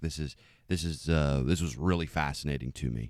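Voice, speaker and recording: A man's fairly quick speech comes through on a very clean recording with a silent background. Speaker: podcast host. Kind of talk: interview.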